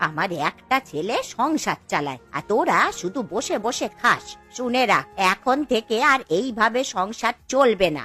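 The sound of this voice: In a cartoonish character voice, a woman delivers lines at a moderate pace with few pauses, a fairly high pitch, lively intonation, a bright, sharp tone and a slightly husky edge, over faint music in the background.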